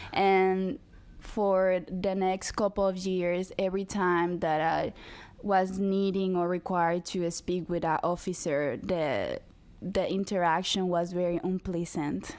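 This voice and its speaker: A woman's medium-pitched voice, fairly slow, with fairly even intonation and very even loudness. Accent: Spanish. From Dominican Republic. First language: Spanish. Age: 20s. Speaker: activist. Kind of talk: interview.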